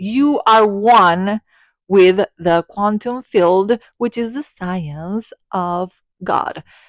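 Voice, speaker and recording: A woman with an Argentine accent and a medium pitch speaks at a very slow pace with lively intonation, in a dry, close sound with no echo. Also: very clean recording, silent background. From Argentina. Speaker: spiritual content creator. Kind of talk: personal vlog monologue.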